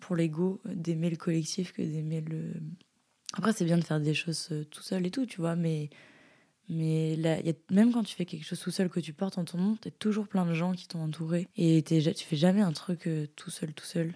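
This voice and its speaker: A woman's fairly low voice with a dark, mellow tone and fairly even intonation. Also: moderate pace. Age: 20s. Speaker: dancer, visual artist and rugby player. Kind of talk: casual interview chat. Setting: at the host's home. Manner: hesitant, many fillers.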